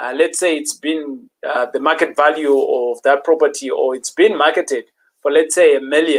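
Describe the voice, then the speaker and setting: A man with a fairly high pitch, fairly even intonation and a moderate pace. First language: not English. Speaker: property investing host. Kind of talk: live stream talk.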